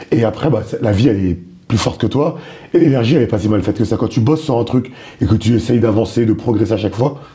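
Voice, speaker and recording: A man's medium-pitched, somewhat breathy voice, dark and mellow in tone, at a very fast pace with very even loudness and ordinary pitch variation. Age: 30s. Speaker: stand-up comedian. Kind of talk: interview.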